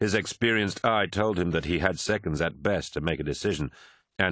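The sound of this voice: Over a quiet background, the speaker uses an unforced reading voice with ordinary pitch variation.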